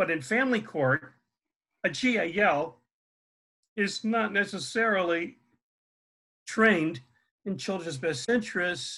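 Raised and projected, a man's high-pitched voice with an American accent carries a bright, sharp tone and lively intonation, broken by long, frequent pauses against a quiet background. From US Northeast, Connecticut. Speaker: family therapist and parental alienation expert. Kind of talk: interview. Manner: halting, many fillers.

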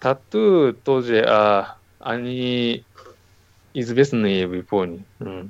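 A man's slow, medium-pitched speech in a Japanese accent, with long, frequent pauses and ordinary pitch variation. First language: Japanese (speaking Russian). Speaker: comic artist. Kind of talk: interview. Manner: halting.

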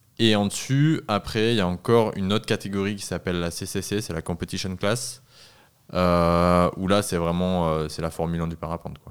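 A man with a very deep, low voice speaks with big swings in loudness. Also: ordinary pitch variation, moderate pace. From French Southern Alps. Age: 20s. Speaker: paraglider designer and test pilot. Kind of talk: casual interview.

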